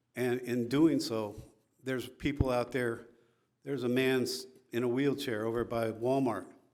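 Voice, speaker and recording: In a room with audible echo, a man at medium pitch talks at a moderate pace with monotone, flat intonation. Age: 70s. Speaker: applicant for a city commission, military veteran. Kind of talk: public comment / interview at a city council meeting. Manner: calm.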